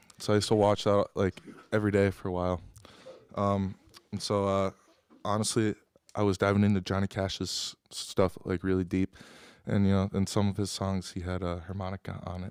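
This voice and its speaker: Through a very clean recording with a silent background and a dry, close sound with no echo, a man with an American accent speaks in a monotone, flat intonation at a fairly low pitch, moving at a fairly quick pace but with long, frequent pauses. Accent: Upper Midwest, faint. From Wisconsin (Appleton area). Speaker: singer-songwriter. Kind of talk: audience Q&A. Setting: live venue with audience. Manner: hesitant, many fillers.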